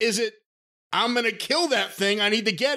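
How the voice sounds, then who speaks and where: A raised, projected voice with a bright, sharp tone, lively intonation and a fairly quick pace, in a very clean recording with a silent background. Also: man. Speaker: podcast host. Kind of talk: casual chat.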